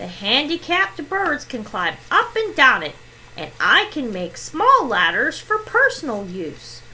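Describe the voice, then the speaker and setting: A woman puts on a character voice with a high pitch. Clear background noise can be heard. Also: fairly slow pace. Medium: read story.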